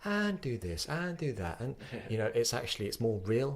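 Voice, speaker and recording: A man speaks at a very fast pace. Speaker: podcast host, yoga teacher. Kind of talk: podcast conversation.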